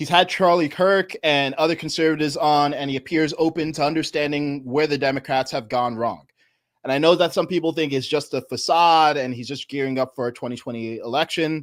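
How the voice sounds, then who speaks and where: A man with an American accent uses a normal speaking voice and ordinary pitch variation in a very clean recording with a silent background. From New York. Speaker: political commentator. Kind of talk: live stream commentary.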